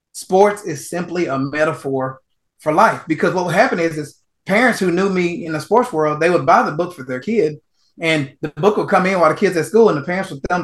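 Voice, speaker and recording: With an American accent, a man talks at a fairly quick pace in a high voice with ordinary pitch variation. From Texas, small town. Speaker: author and mental performance coach. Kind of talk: interview. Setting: podcast or radio show.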